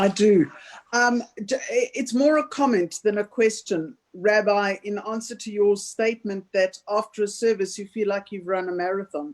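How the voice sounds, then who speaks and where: A woman speaks at a moderate pace in a medium pitch with ordinary pitch variation. It is an unremarkable speaking voice. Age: 60s. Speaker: audience member asking question. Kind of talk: Q&A comment in online talk. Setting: video call.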